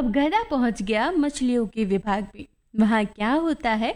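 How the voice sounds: Throughout, the speaker uses a natural reading voice.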